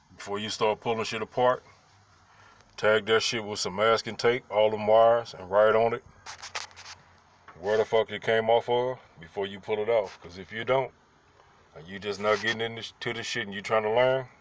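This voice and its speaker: A man at a fairly low pitch and moderate pace, with long, frequent pauses, big swings in loudness and noticeable background noise. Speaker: car restorer. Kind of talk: tutorial. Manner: animated.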